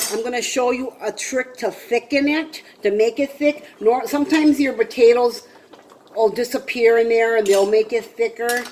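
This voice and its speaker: Delivered at a moderate pace, the speech comes through over noticeable background noise. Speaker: home cooking video host. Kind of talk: cooking tutorial. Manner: casual, chatty.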